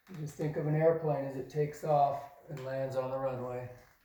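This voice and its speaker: In a room with audible echo, a man with a fairly high pitch speaks at a moderate pace in a flat monotone. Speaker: drywall tradesman. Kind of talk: tutorial. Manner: loud.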